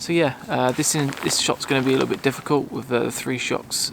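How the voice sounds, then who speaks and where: Noticeable background noise under a man's fairly quick speech. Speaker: landscape photographer vlogger. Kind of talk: casual vlog talk to camera. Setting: outdoors in woods. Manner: whispering; hesitant, many fillers.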